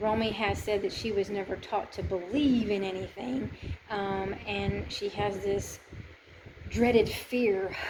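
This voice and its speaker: Over noticeable background noise, a woman talks at a very slow pace with long, frequent pauses. Her pitch is medium for a woman and her intonation fairly even. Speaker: volunteer archaeological excavator and missionary vlogger. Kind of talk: casual video diary. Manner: loud.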